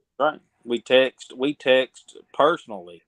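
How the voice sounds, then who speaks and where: A man of medium pitch speaks in a Southern US accent. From Mississippi, US South. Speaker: podcast guest, fan commentator. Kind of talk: casual chat.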